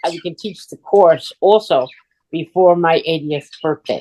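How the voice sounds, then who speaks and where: A woman's lively intonation at a moderate pace, dry and close with no echo. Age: 70s. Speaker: transformational coach and relationship counselor. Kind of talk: casual interview chat.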